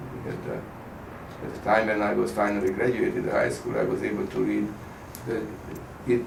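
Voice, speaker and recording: A man is speaking in a space with audible room echo. Background noise is noticeable. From Hungary, Budapest. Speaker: Holocaust survivor. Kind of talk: oral history interview. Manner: halting.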